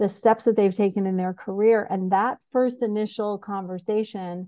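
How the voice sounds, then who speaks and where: Delivered at a moderate pace with fairly even intonation, this is a plain, everyday voice with an American accent. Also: woman. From US Northeast (New York State, Syracuse). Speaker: executive coach. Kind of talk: podcast interview.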